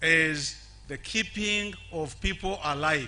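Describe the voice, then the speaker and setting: A man speaks in a high pitch with ordinary variation and a bright, sharp tone. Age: 70s. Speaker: HIV activist living with HIV. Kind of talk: public speech. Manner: halting, repeats words.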